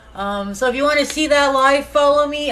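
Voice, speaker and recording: Room echo is audible. A woman speaks at a moderate pace. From Nova Scotia, Canada. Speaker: home cook streamer. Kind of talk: casual live cooking stream.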